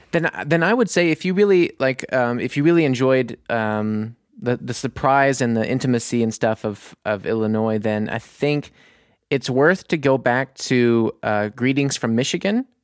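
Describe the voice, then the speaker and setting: Here is a man with an ordinary speaking voice and an American accent, at a medium pitch with ordinary pitch variation. He talks at a moderate pace in a very clean recording with a silent background. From US South (Mississippi, Louisiana). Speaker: musician. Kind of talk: casual chat.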